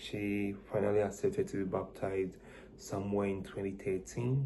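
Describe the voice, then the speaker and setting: This is a man with a dark, mellow tone. Audible room echo surrounds his voice. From Ghana. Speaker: student interviewee. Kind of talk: interview answers.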